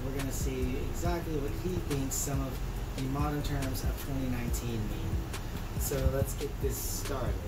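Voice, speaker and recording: The background is loud with noise. Against it, a man keeps a moderate pace. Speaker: YouTube host. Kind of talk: casual talk to camera. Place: kitchen. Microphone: camera far.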